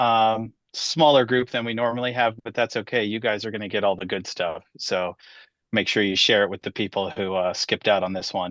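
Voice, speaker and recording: His pitch sits at a medium level. This man's pitch variation is ordinary. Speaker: education technology trainer, former teacher. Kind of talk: webinar presentation. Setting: video call webinar.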